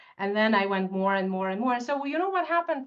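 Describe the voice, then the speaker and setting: With a Russian accent, a woman speaks at a fairly high pitch, making very wide pitch swings. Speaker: tax expert. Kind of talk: webinar presentation. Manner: animated.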